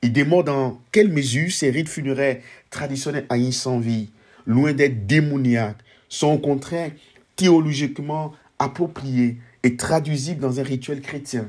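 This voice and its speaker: On a very clean recording with a silent background, a man with a plain, everyday voice speaks at a fairly slow pace, his fairly high pitch showing ordinary variation. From Ivory Coast. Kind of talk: book presentation monologue. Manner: formal.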